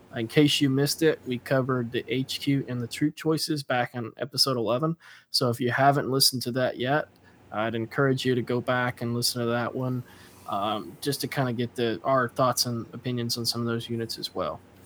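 Heard in a dry, close sound with no echo, a man with a normal speaking voice talks at a fairly quick pace in a medium pitch with fairly even intonation. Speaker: podcast host. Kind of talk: casual chat.

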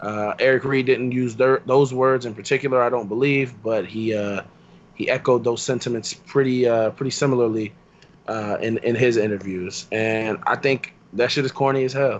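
This man has an ordinary speaking voice at a medium pitch. He keeps a moderate pace and fairly even intonation. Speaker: podcast co-host. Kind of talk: casual banter podcast.

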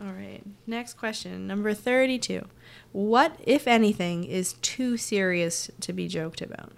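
A woman with an American accent and a plain, everyday voice speaks at a fairly slow pace, her pitch medium. Her intonation is lively, with big swings in loudness. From New Jersey. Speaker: sketch comedy writer. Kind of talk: casual conversation.

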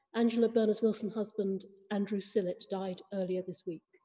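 A woman with a normal speaking voice, fairly high pitch and a moderate pace. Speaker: priest leading the service. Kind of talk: church liturgy and sermon. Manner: formal.

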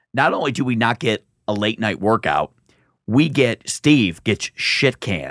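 An ordinary speaking voice from a man at a medium pitch, lively in intonation, fairly slow in pace, with a dry, close sound and no echo. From Michigan, US. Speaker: comedian. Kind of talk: casual chat. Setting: studio.

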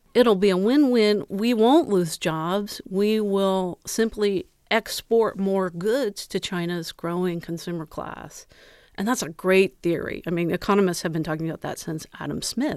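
A normal speaking voice, a woman with an American accent at a medium pitch, fairly slow pace and ordinary pitch variation, on a very clean recording with a silent background. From US Midwest, Ohio. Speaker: journalist and author. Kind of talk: interview.

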